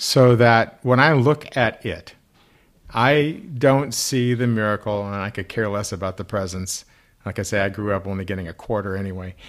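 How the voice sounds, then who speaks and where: This man talks in an ordinary speaking voice with an American accent, his pitch fairly low. His pace is moderate and his pitch variation ordinary. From US. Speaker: rabbi. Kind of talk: casual chat.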